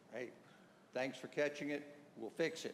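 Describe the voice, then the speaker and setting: Heard with audible room echo, a man speaks with ordinary pitch variation. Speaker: attorney for applicant. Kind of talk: public hearing testimony. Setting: town meeting hall. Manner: loud.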